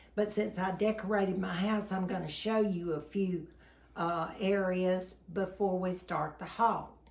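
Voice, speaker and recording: A woman speaks at a fairly slow pace. Audible room echo and noticeable background noise are present. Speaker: shopping haul vlogger. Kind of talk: casual home video chat.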